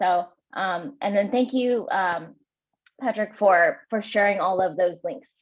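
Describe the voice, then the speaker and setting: A woman's medium-pitched voice at a very slow pace. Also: ordinary pitch variation. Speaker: community program lead presenting at a meeting. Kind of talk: meeting presentation. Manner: hesitant with frequent fillers.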